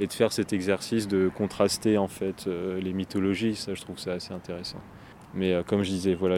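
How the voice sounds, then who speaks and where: With a very deep, low voice and a dark, mellow tone, a man speaks in a monotone, flat way. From France, La Rochelle. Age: 20s. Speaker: film student and skateboarder. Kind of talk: casual interview. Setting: on location. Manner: hesitant, many fillers.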